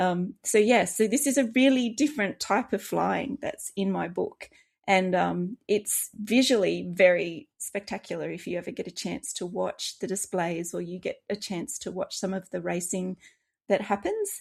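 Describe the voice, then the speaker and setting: Recorded very cleanly against a silent background, a woman with an Australian accent speaks at a moderate pace. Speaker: children's author, former air force. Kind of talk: interview.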